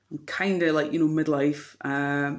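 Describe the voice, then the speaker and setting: A woman speaks with a Dundee accent at a moderate pace. The recording is very clean, with a silent background. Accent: Scottish (Dundee). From Scotland, Dundee. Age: 40s. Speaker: vlogger. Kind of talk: personal vlog monologue. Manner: hesitant, many fillers.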